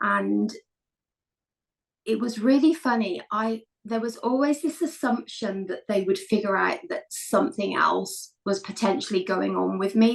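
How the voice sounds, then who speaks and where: The speaker is a woman with a British accent. She talks at a moderate pace. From England. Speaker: elite wheelchair racer and entrepreneur. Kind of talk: podcast interview, personal story.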